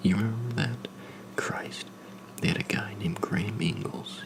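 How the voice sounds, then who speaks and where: A man whispers in a calm tone over noticeable background noise. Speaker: ASMR creator, new to making videos. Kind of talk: narration of a horror story, first-person. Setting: recorded with a Blue Yeti USB microphone. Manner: calm, measured, soft-spoken.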